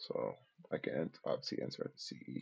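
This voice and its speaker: A man is soft-spoken. He talks at a moderate pace. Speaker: day trader streamer. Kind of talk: live trading commentary. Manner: casual, filler-heavy.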